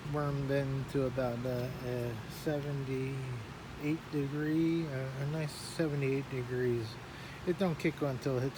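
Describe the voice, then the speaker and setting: A soft-spoken man talks at medium pitch in a monotone, flat intonation. Audible room echo and noticeable background noise come through. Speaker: hobbyist gardener vlogger. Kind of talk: casual tutorial. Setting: inside a greenhouse. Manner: halting with many fillers.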